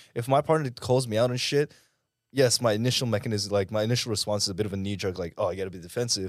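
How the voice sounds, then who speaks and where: Talking at a very fast pace, a man uses lively intonation at medium pitch. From Philippines, raised in Dubai, now Australia. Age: 20s. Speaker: fitness influencer and coach. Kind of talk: casual chat. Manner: animated.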